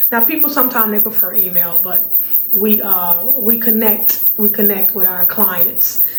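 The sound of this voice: At medium pitch, a woman with a raspy voice speaks at a moderate pace with fairly even intonation amid audible room echo.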